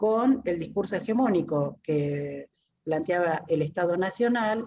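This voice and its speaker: A woman talks at a fairly slow pace with a fairly low pitch. Her intonation is lively. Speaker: academic presenting a book. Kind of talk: book presentation talk. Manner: hesitant, many fillers.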